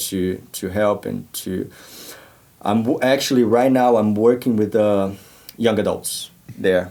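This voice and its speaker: A man speaks in a Portuguese accent. His pace is fairly slow. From Brazil. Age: 30s. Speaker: church youth worker. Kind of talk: podcast interview.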